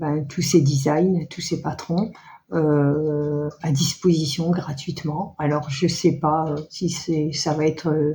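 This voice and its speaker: A woman with a dark, mellow tone and a very deep, low pitch speaks at a very slow pace, somewhat breathy and in a monotone, flat intonation. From northern France (Nord-Pas-de-Calais). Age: 60s. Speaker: knitting and sewing vlogger. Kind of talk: casual chat. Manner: halting, many hesitations.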